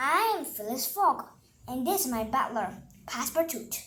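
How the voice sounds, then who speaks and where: At a moderate pace, a woman uses a put-on character voice with a high pitch. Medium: read story. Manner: calm, formal, unhurried.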